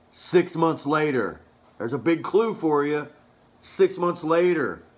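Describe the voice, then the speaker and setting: A man at a fairly slow pace. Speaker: religious vlogger. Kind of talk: sermon-like vlog talk. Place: home room. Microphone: phone near.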